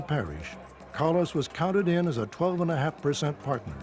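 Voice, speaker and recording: Music plays in the background as a man with fairly high pitch talks at a fairly quick pace. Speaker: documentary narrator. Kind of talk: documentary narration. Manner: authoritative.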